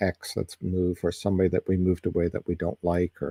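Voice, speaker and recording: A dark, mellow tone at a fairly quick pace, dry and close with no echo, on a very clean recording with a silent background. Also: man. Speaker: psychic reader. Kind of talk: live stream tarot reading. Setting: live stream. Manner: halting, stumbling over words.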